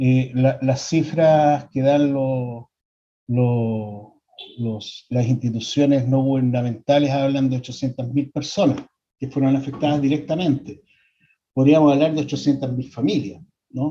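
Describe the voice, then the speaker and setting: A somewhat breathy man at medium pitch, fairly slow pace and fairly even intonation. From Chile. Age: 60s. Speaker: psychologist. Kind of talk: lecture. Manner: halting, many repetitions and fillers.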